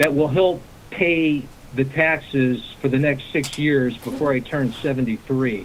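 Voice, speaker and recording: Over noticeable background noise, a man with a fairly high pitch speaks at a fairly slow pace, his intonation fairly even and his loudness very even. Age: 60s. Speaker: caller. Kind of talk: phone call question. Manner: halting with many fillers.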